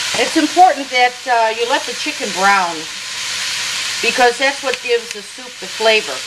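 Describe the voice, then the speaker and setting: A woman talks at a moderate pace while loud background noise runs underneath. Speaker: jazz singer. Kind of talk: cooking demonstration. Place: kitchen.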